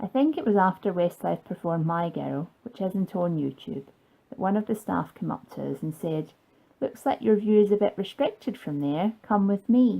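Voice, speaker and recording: A woman with a Scottish accent speaks at a moderate pace in a dark, mellow tone with lively intonation. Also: medium pitch for a woman. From Scotland. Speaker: fan vlogger. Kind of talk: scripted narration.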